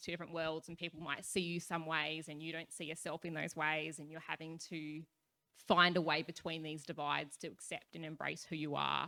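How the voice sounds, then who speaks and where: A woman's bright, sharp voice, fairly low in pitch, with an Australian accent at a moderate pace. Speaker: youth activist panelist. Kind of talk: panel discussion. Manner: loud.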